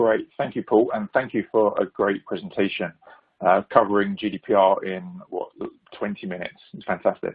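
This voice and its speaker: Here is a man speaking. He has a British accent. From United Kingdom. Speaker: security executive. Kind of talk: webinar presentation. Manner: hesitant, many fillers.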